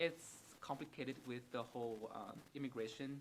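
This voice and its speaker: With a Vietnamese accent, a man of medium pitch speaks at a moderate pace with fairly even intonation. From Vietnam, Hanoi. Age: 20s. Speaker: psychiatric nurse. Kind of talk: interview. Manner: halting, many repetitions and fillers.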